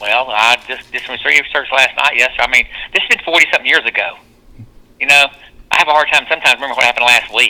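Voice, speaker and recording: A man with a Georgia accent, fairly high in pitch, bright and sharp in tone, talking at a very fast pace with fairly even intonation. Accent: Southern American (Georgia). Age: 60s. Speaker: police chief. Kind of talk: phone call.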